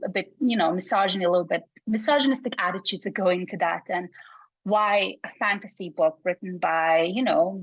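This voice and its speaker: Talking fairly quickly, a woman with a Bosnian accent uses a medium pitch with ordinary pitch variation. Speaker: psychology researcher. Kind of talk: casual chat.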